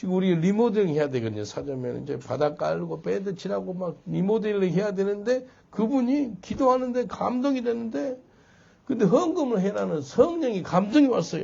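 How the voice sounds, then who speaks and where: This man's high voice swings very widely in pitch as he keeps a moderate pace. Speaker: pastor. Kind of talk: sermon.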